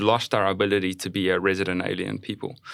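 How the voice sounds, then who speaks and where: In a very clean recording with a silent background, a man with a South African accent speaks at a fairly quick pace and a fairly low pitch. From South Africa, Johannesburg. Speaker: pastor. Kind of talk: casual chat.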